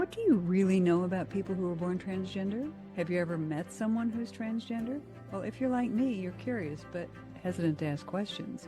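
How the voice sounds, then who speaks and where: A woman speaks at a medium pitch with ordinary pitch variation. Her pace is fairly quick, and music plays in the background. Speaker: podcast host. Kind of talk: show introduction.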